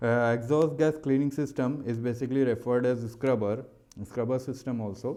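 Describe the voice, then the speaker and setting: A man with an Indian accent and a dark, mellow tone speaks at a medium pitch with fairly even intonation, amid audible room echo. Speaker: maritime engineering teacher. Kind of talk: lecture. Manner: fast; hesitant, many fillers.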